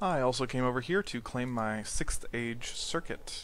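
A man speaks in a plain, everyday voice at a medium pitch, with ordinary pitch variation. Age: 20s. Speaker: gaming YouTuber. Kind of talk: gameplay commentary. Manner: casual with frequent fillers.

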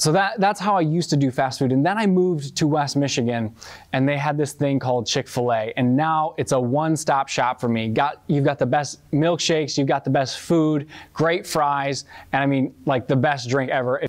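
A man at a moderate pace, with ordinary pitch variation and very even loudness, against a quiet background. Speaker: youth pastor. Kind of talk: sermon. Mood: friendly, relaxed. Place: church.

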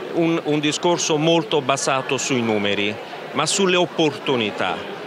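Over clear background noise, a man speaks at a moderate pace in a fairly high pitch with lively intonation.

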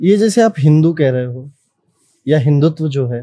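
A man with a fairly high pitch talks at a moderate pace in a dark, mellow tone that is somewhat breathy. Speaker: podcast host, astrologer. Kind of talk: interview.

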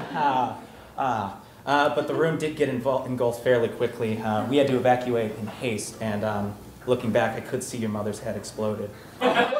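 Amid audible room echo and light background noise, a man speaks at a moderate pace with fairly even intonation. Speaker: actor playing a doctor. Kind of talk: comedic scripted monologue delivering bad news. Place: stage. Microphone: camera far.

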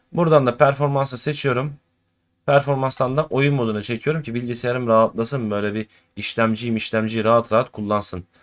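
A man's plain, everyday voice at a fairly quick pace with ordinary pitch variation. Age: 20s. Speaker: gaming YouTuber. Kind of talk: tutorial. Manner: casual, chatty.

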